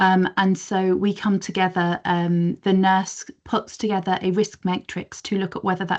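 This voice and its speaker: A woman speaks at a medium pitch. She has an English accent. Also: quiet background. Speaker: community paediatric nursing service manager. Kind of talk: professional discussion in online meeting. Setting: video call.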